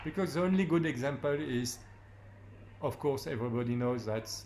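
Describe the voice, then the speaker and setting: The man speaks at a moderate pace in a French accent. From France. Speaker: war photographer. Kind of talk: panel discussion. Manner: halting.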